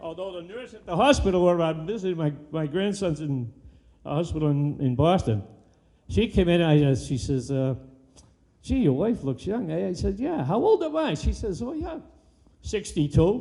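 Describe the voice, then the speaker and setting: The pitch swings very widely, in an American accent. The tone is dark and mellow. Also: man, high pitch for a man, moderate pace. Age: 80s+. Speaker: public commenter, senior citizen. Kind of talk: public comment at city council meeting. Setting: public meeting hall. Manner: animated.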